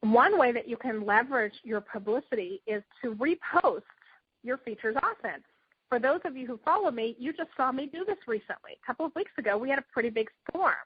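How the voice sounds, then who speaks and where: Her high-pitched voice has lively intonation. This woman keeps a fairly quick pace. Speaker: publicity consultant and speaker. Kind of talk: teleclass workshop. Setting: teleclass phone call. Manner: fast.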